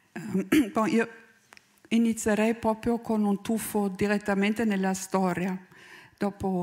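Speaking very slowly with a strong German accent, a woman holds a medium pitch in a monotone, flat delivery against a quiet background. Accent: strong German accent in Italian. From Germany. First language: German (speaking Italian). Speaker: sociologist researcher. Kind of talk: conference talk. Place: stage. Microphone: handheld.

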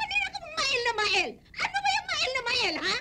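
Using a put-on character voice, a woman speaks at an extremely high pitch with big swings. Her tone is bright and sharp, and her pace is moderate.

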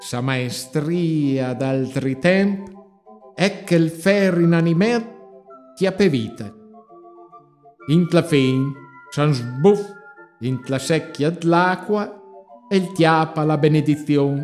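Over music in the background, a man with a Marche accent talks at a very slow pace with long, frequent pauses, his fairly high pitch varying in an ordinary way. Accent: Pesaro dialect. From Pesaro, Italy. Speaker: street performer. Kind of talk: dialect poetry reading. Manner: relaxing, hypnotic.

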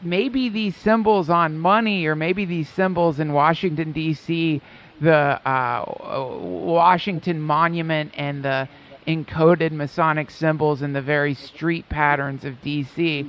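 Speaking at a very slow pace, a man uses a fairly high pitch and ordinary pitch variation. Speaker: podcast host, comedian. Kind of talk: casual interview chat. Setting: video call.

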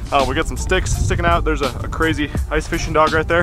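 Over clear background music, a man speaks at a very fast pace in a dry sound with no echo. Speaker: fishing vlogger. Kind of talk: casual vlog chat. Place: open country. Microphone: phone near.

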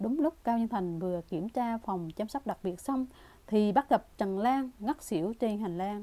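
Someone is reading aloud in a natural voice.

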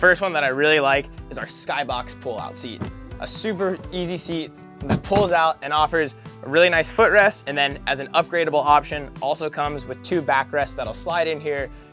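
A man speaks at a moderate pace with ordinary pitch variation, faint music playing in the background. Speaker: boat reviewer. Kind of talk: product walkthrough. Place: boat. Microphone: lapel.

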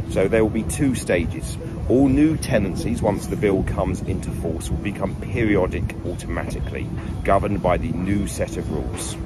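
A man at a moderate pace, dry sound with no echo, over loud background noise. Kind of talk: informational talk to landlords. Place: garden. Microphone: phone near.

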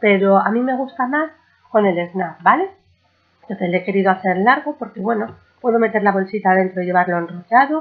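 Her intonation sounds lively. This woman's voice sits at a medium pitch. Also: fairly quick pace.

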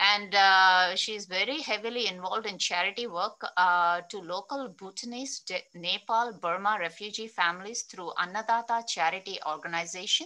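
With ordinary variation in pitch, a woman speaks in a bright, sharp tone. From Andhra Pradesh, Krishna district village near Vijayawada; Andhra Pradesh. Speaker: interview moderator. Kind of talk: interview. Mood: warm, friendly. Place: home room. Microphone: earbuds.

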